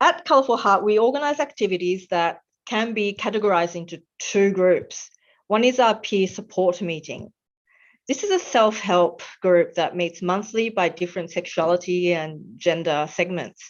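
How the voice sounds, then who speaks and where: A woman with an Australian accent talks at a moderate pace. Her pitch is medium, with ordinary variation. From Australia, Melbourne. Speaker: webinar facilitator, nonprofit volunteer. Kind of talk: presentation. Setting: online webinar. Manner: hesitant, frequent um fillers.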